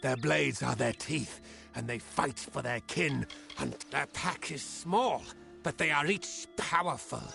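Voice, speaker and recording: Clear music plays in the background. A man uses a put-on character voice at a fairly slow pace. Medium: game stream. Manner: blunt, simple phrasing.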